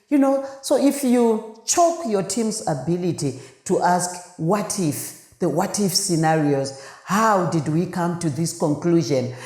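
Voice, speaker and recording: A woman with a fairly low pitch speaks in an animated tone with very wide pitch swings, heard with audible room echo and noticeable background noise. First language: not English. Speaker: podcast host, leadership consultant. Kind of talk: podcast monologue on leadership. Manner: halting with fillers.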